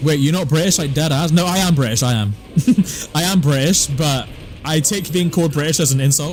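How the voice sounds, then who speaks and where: Speaking at a fairly quick pace in a West Country accent, a man with a fairly high pitch and ordinary pitch variation is heard through audible room echo and noticeable background noise. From southwest England. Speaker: gaming streamer. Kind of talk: live stream chat. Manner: casual, relaxed.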